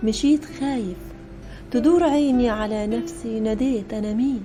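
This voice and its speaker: Music plays behind a woman with an Egyptian accent. She speaks fairly slowly at a fairly high pitch with lively intonation. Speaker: poet. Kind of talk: poetry reading.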